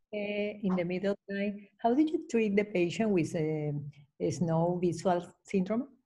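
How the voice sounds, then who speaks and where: A woman with a Spanish accent speaks at a fairly slow pace. Her tone is dark and mellow, and somewhat breathy. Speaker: webinar moderator. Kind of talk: event introduction and Q&A moderation. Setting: video call. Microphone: video call.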